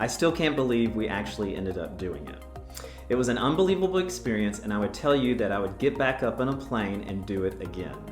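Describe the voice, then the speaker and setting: Speech at a very fast pace with very wide pitch swings plays over music in the background. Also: man, fairly low pitch for a man. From North Carolina. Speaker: real estate agent. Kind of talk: casual talk to camera.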